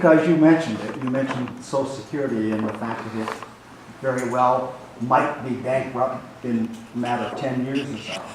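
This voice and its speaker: Over noticeable background noise and audible room echo, a man with a medium pitch talks at a fairly quick pace with fairly even intonation. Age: 80s+. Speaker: senior citizen audience member. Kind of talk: audience question at town hall.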